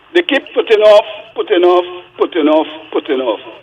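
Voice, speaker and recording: There is noticeable noise behind the recording. The speaker is a man. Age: 70s. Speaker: caller. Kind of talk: phone-in call. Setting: phone call.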